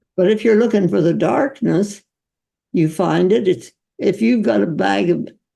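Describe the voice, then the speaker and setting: A woman with a medium pitch and a dark, mellow tone uses vocal fry and very wide pitch swings, speaking at a moderate pace with very even loudness. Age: 80s+. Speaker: physician. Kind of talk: interview answer.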